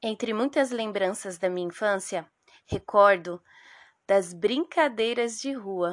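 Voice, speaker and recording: Very slow speech from a woman at medium pitch, ordinary in pitch variation, in a dry, close sound with no echo. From Brazilian Northeast, raised in São Paulo. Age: 30s. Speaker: public school teacher and podcast host. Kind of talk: scripted narration.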